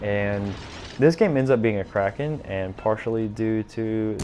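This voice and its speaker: Speaking with an American accent, a man with a fairly low voice is heard with audible room echo. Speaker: gaming YouTuber. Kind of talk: gameplay commentary. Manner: casual, hesitant with fillers.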